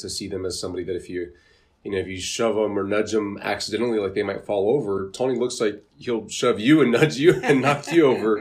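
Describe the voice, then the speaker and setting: Here is a man with an ordinary speaking voice. His pitch is fairly low, with ordinary pitch variation. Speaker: physical therapist. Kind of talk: podcast host interview.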